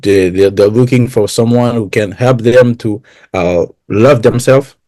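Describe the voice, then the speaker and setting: A man with a French accent speaks at medium pitch in a dark, mellow tone with fairly even intonation. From France. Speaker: interviewer. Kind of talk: interview. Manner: halting.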